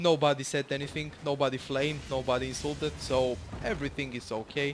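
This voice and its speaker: A man with a Bulgarian accent talks at a moderate pace, his fairly high pitch held in fairly even intonation. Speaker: gaming YouTuber. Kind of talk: gameplay commentary. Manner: casual, hesitant with fillers.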